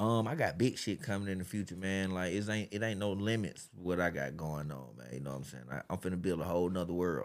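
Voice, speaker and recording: A man's very deep, low voice with an American accent, very fast and lively, with hardly any pauses. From Atlanta, Georgia. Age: 30s. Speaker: podcast host, guest. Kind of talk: casual interview chat.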